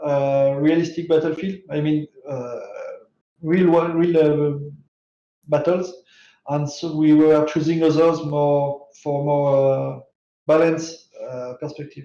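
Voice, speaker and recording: This man has a French accent and a fairly high pitch with a dark, mellow tone. His monotone, flat delivery comes at a fairly slow pace with long, frequent pauses. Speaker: game developer. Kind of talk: interview answers. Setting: live stream. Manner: halting, many fillers.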